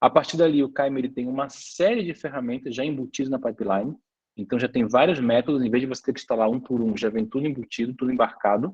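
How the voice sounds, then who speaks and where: A man at medium pitch with ordinary pitch variation, talking at a very fast pace. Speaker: lecturer and biotech company founder. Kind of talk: online lecture. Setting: online class with chat.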